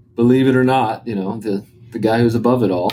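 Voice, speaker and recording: At a moderate pace, a man speaks with fairly even intonation against noticeable background noise. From Arkansas. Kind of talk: interview. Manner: hesitant, many fillers.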